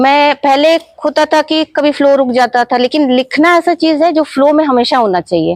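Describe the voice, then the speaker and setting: A woman speaks at a high pitch with a Bengali accent. The sound is dry and close, with no echo. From Ranchi, Jharkhand, India. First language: Bengali (speaking Hindi). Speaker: author and life coach. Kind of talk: interview.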